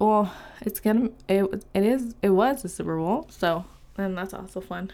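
A woman with a Californian accent and fairly even intonation, on a very clean recording with a silent background. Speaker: podcast host. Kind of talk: casual solo chat. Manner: rambling with many fillers and laughs.

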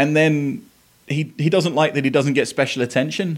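A man with an Essex accent talks at a fairly quick pace, his pitch fairly high with ordinary variation. The recording is very clean, with a silent background. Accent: southern English (Essex). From Essex, England. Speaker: podcast host. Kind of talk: casual monologue.

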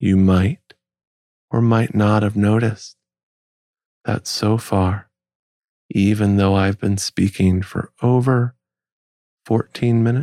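A man's fairly low voice, dark and mellow in tone and soothing, at a very slow pace with long, frequent pauses, fairly even intonation and very even loudness, in a dry, close sound with no echo. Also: very clean recording, silent background. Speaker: podcast host. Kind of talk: slow spoken monologue.

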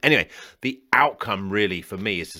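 Here a man with a British accent talks at a moderate pace in a fairly low, bright, sharp voice. The recording is very clean, with a silent background. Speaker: financial planner and podcast host. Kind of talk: guided visualization exercise, calm coaching instruction.

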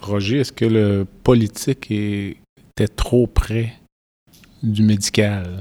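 Very slow, dark, mellow speech from a man with fairly low pitch, fairly even intonation and long, frequent pauses, in a dry, close sound with no echo. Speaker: podcast host, physician. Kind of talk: interview. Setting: conference venue.

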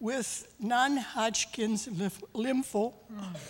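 A woman speaks very slowly in an Upper Midwest accent. Her pitch is fairly high, with ordinary pitch variation. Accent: Upper Midwest American. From US Midwest (Minnesota). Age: 80s+. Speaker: church member. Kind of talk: testimony. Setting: church.

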